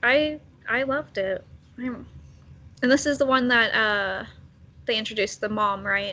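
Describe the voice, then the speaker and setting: Using a normal speaking voice, a woman talks at a fairly slow pace with ordinary pitch variation. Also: fairly high pitch for a woman. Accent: American. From Texas. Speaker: TV fan guest. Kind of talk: casual chat.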